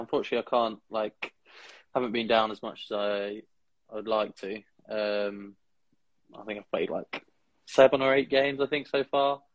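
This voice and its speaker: A man with a southern English accent and a medium pitch speaks at a moderate pace, using long, frequent pauses and fairly even intonation. His loudness swings widely, and the sound is dry and close with no echo. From Kent, England. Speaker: student ice hockey player. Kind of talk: casual interview.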